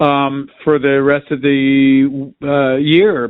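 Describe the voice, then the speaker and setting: A man speaks at a fairly high pitch. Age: 60s. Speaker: rock musician. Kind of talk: casual interview chat. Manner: halting, many fillers.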